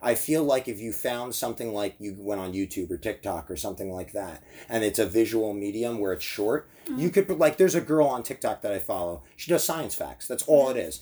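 With an American accent, a man talks fairly quickly at a medium pitch with hardly any pauses, a dark, mellow tone and very wide pitch swings. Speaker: podcast host. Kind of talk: casual chat.

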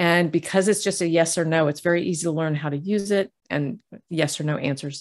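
Here is an ordinary speaking voice from a woman with a fairly low pitch. She keeps a fairly quick pace and fairly even intonation. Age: 60s. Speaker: intuitive healer and novelist. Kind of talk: casual interview.

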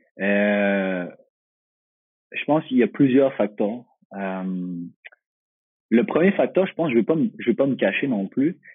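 A man speaks at a very slow pace and a medium pitch, with long, frequent pauses. His pitch swings very widely. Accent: Quebec. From Quebec, Magog (Eastern Townships). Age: 20s. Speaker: professional footballer. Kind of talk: interview. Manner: halting, many repetitions and fillers.

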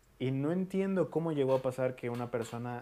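In a Mexican accent, a man with a dark, mellow tone speaks at medium pitch with lively intonation. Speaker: podcast host; booktuber. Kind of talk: casual chat.

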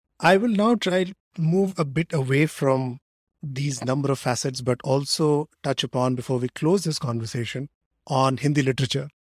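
Somewhat breathy and at a moderate pace, a man talks with ordinary pitch variation in a dry, close sound with no echo. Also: fairly high pitch for a man. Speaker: podcast host. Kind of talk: interview conversation.

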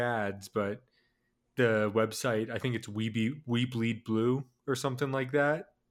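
A man speaks fairly slowly with an American accent, at medium pitch and in a normal speaking voice. His intonation is fairly even, and the recording is very clean with a silent background. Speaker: sports podcast co-host. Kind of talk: casual sports chat.

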